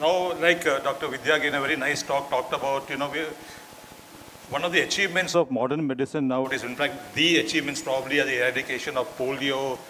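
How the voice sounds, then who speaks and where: Amid noticeable background noise and audible room echo, a man speaks at a very fast pace with a fairly high pitch. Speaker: doctor. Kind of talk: lecture.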